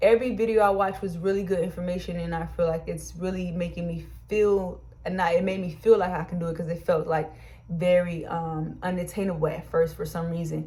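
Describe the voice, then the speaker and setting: With a dark, mellow tone and a somewhat breathy quality, a woman speaks at a fairly quick pace and a fairly low pitch amid audible room echo. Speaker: YouTuber and small business co-owner. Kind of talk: personal advice vlog. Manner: fast when excited; animated.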